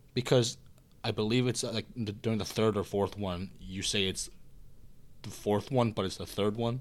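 A man with an unremarkable speaking voice speaks at a fairly low pitch and a moderate pace, his intonation fairly even. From Canada (Korean-born, moved at age one). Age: 18. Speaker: university student. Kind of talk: casual chat.

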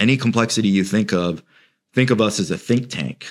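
Heard in a very clean recording with a silent background, a man with an unremarkable speaking voice and an American accent speaks at a moderate pace, his fairly low pitch showing ordinary pitch variation. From UK childhood, then Central Florida. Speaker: wealth manager. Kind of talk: interview.

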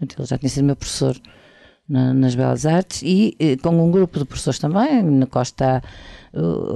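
A woman with a very deep, low pitch and a dark, mellow tone speaks at a moderate pace. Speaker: architecture professor. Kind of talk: casual chat.

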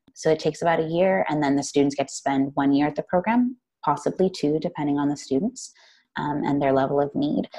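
In an American accent, a woman speaks with a dark, mellow tone, a very deep, low pitch and lively intonation. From US, Phoenix, Arizona. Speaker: social worker. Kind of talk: interview.

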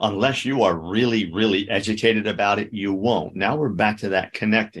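At a moderate pace, a man talks in a fairly low pitch with ordinary pitch variation against a quiet background. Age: 60s. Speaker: therapist. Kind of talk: interview. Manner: halting, frequent repetitions.

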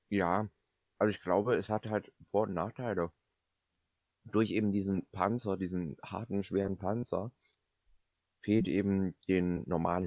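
Fairly low male voice at a fairly slow pace, with fairly even intonation and a dry, close sound with no echo. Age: 20s. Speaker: podcast host, business student. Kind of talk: casual comedic chat.

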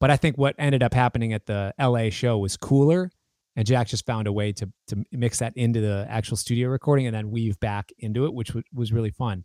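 On a very clean recording with a silent background and a dry, close sound with no echo, a man with an American accent uses an unremarkable speaking voice at medium pitch and a fairly quick pace. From United States. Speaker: guitarist and musician. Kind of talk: casual interview chat.

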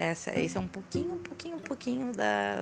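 A woman speaks at a moderate pace. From Rio de Janeiro, Brazil. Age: 30s. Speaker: teacher and makeup artist telling supernatural stories. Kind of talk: personal storytelling.

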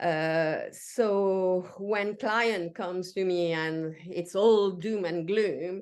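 A woman speaks at medium pitch with a French accent and ordinary pitch variation. The background is quiet. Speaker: executive coach. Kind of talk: casual interview chat. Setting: video call from home. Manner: halting, many fillers.

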